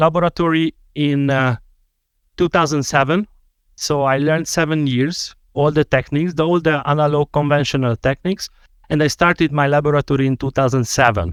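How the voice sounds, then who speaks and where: At a moderate pace and very even loudness, a man with a Hungarian accent speaks in a fairly high pitch. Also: dry, close sound with no echo, very clean recording, silent background. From Hungary. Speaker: dental technician and lecturer. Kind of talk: podcast interview.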